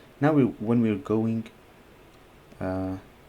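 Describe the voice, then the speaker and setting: Very slowly, a man speaks at a medium pitch with a dark, mellow tone. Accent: non-native. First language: not English. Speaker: chess and coding YouTuber. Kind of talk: live coding and chess commentary. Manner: halting, many fillers.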